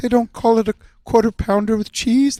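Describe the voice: Using a put-on character voice that sounds female, the speaker talks at a moderate pace with a fairly high pitch and monotone, flat intonation.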